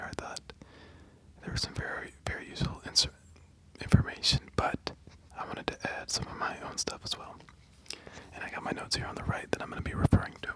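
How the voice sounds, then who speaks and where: Someone whispers at a very fast pace, broken by long, frequent pauses. Noticeable background noise runs underneath. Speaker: ASMR creator. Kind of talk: casual talk to camera, explanatory commentary. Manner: whispered, soft.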